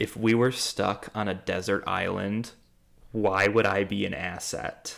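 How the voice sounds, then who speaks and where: This is a man with a fairly low pitch. His voice has vocal fry. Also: fairly slow pace. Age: 20s. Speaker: podcast host. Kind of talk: casual chat. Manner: animated.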